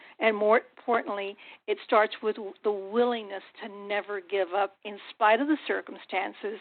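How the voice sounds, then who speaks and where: This woman's pitch is fairly high, her intonation fairly even. She keeps a moderate pace. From US-Mexico border town. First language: Spanish. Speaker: business consultant. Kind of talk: motivational speech.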